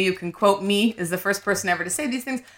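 A woman speaks with a Canadian accent. Her tone is animated. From Canada (Winnipeg). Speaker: comedian. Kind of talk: comedy game show banter.

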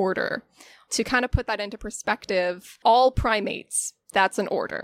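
A woman's unremarkable speaking voice with an American accent, fairly high in pitch with ordinary pitch variation, at a moderate pace, in a dry, close sound with no echo on a very clean recording with a silent background. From Florida, Pinellas County. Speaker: zookeeper. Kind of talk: casual interview chat.

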